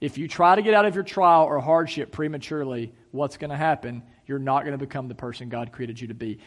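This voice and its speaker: A man with an unremarkable speaking voice, fairly high in pitch, at a fairly quick pace with ordinary pitch variation, over a quiet background. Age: 30s. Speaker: pastor. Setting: church service, in person and streamed online. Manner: earnest, conversational preaching with rhetorical questions and repetition; casual filler-laden delivery with ums and uhs.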